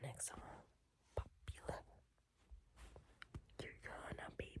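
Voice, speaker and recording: A woman whispering with long, frequent pauses amid noticeable background noise. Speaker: ASMR creator. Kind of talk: ASMR whisper talk ranking songs. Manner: whispered; casual, chatty.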